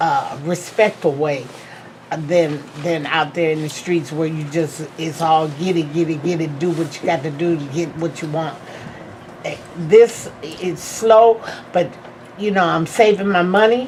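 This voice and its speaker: Over noticeable background noise, a woman talks at a fairly low pitch with ordinary pitch variation. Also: fairly slow pace. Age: 60s. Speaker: class participant. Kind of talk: testimony.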